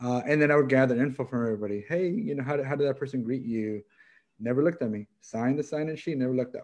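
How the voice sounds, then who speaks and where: Speaking at a very fast pace, a man has an American accent. His pitch is medium, with ordinary variation. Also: quiet background. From Los Angeles, Boyle Heights; Los Angeles. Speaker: professor, executive coach. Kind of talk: panel discussion. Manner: halting, repeats words. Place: home room. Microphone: webcam.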